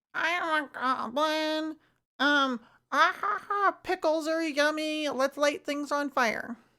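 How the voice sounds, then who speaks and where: In a put-on character voice pitched high, a woman speaks at a fairly slow pace on a very clean recording with a silent background. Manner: silly, gleeful, deliberately bad.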